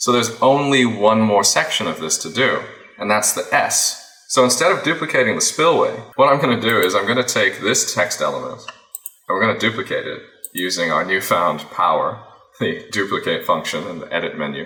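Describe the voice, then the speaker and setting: A man with an American accent at a fairly quick pace, with noticeable background noise. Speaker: FPV drone pilot and video editor. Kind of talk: tutorial. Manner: casual, thinking aloud.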